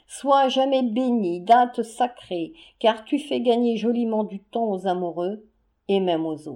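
A woman speaks at a very slow pace. Her pitch is fairly high and her intonation lively. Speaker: audiobook narrator. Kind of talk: literary audiobook reading, humorous 19th-century story. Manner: lively, expressive, formal diction.

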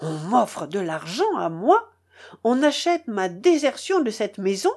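In a put-on character voice, a woman speaks at a fairly slow pace with medium pitch, big pitch swings, a slightly mellow tone and a slightly husky edge, on a very clean recording with a silent background.

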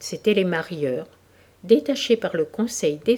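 Lively intonation in a passage read aloud with a natural voice

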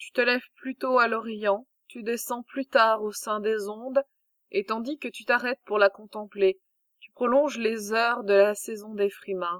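A woman's fairly high-pitched voice in a dramatic tone, with big swings in loudness and a dry, close sound with no echo. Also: fairly even intonation, fairly slow pace. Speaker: audiobook narrator. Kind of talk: reading aloud, audiobook narration of mythological epic. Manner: measured, formal, dramatic storytelling.

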